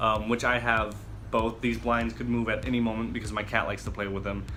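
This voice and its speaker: A man with an American accent speaks amid audible room echo and music in the background. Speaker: vlogger. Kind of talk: tutorial. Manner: hesitant, filler-heavy; casual.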